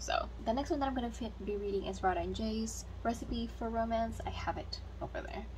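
A woman speaking at a fairly quick pace over light background noise. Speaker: book vlogger. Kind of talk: casual reading vlog. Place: home room. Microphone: phone near.

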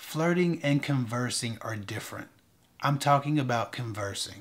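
This man keeps a moderate pace. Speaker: dating advice vlogger. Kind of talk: advice commentary to camera. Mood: relaxed, slightly wry. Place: studio.

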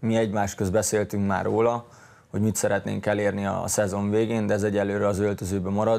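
Monotone, flat intonation at a fairly quick pace, with very even loudness. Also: man, fairly low pitch for a man. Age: 20s. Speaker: professional footballer; guest. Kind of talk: interview. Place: studio. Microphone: lapel.

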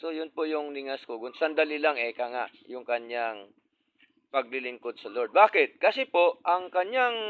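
His pitch is fairly high and swings very widely. The man talks at a fairly slow pace. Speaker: preacher. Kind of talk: sermon. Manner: formal; earnest.

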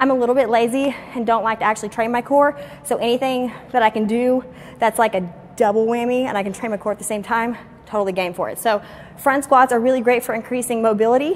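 Very fast female speech with fairly even intonation over light background noise. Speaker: fitness trainer. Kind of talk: casual fitness tutorial and Q&A. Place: gym.

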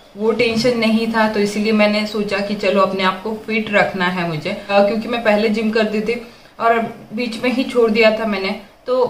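A woman talks at a fairly slow pace with monotone, flat intonation. There is light background noise and audible room echo. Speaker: vlogger. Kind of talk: casual vlog chat. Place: kitchen. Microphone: phone near.

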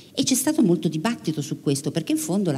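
A woman's voice with a dark, mellow tone. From Italy. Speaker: radio science journalist. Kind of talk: public interview on stage. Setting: theatre stage with audience. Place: stage. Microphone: handheld.

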